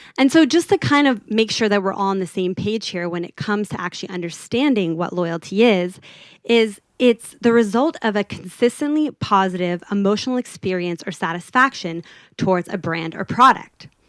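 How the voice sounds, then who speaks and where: A woman at a medium pitch and moderate pace, with lively intonation, a slight Los Angeles accent, and a dry, close sound with no echo. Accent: American, toned-down LA Valley girl. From US, California (LA Valley). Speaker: product designer. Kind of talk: conference talk. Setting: stage with audience.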